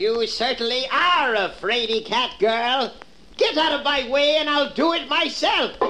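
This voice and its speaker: A put-on character voice at a high pitch comes through over clear background noise. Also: moderate pace. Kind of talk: children's record dramatization. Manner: sweetly coaxing then menacing.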